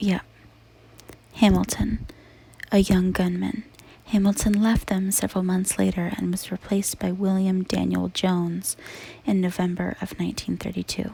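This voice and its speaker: Whispering softly at a moderate pace, the speaker leaves long, frequent pauses. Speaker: ASMR creator. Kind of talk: ASMR true crime narration. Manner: soft-spoken and whispered.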